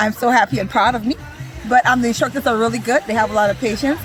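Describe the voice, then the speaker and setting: Talking at a very fast pace, a woman with a fairly high-pitched voice is heard over noticeable background noise. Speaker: swimming program participant. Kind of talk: interview. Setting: outdoors on a beach.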